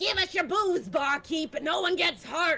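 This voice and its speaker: An extremely high-pitched, put-on character voice does the talking. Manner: demanding, threatening.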